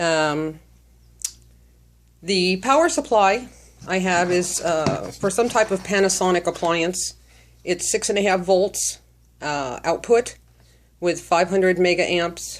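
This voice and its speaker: Very slowly and with long, frequent pauses, a woman speaks at a medium pitch. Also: ordinary pitch variation. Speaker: hobbyist metal detectorist. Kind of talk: tutorial. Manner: halting, many fillers.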